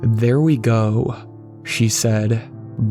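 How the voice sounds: A natural reading voice, its intonation held fairly even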